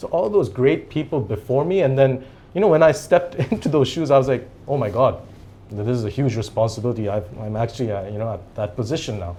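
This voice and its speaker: A man's dark, mellow, somewhat breathy voice at medium pitch, very fast, with lively intonation. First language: Japanese. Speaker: company CEO. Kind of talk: interview.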